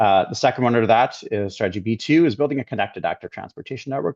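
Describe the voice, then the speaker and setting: Very fast speech with ordinary pitch variation. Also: man. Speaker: consultant presenting to council. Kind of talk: formal presentation. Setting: council meeting.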